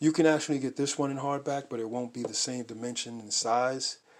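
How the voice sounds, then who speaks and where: At a fairly quick pace, a man talks in an ordinary speaking voice with a medium pitch and fairly even intonation. The recording is very clean, with a silent background. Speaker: art book collector YouTuber. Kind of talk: casual show-and-tell video.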